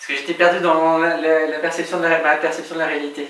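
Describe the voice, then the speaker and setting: Over noticeable background noise, a man speaks at a moderate pace. His pitch is fairly high, and there is audible room echo. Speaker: film review show host. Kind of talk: rehearsal of scripted lines with outtakes. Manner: stumbling.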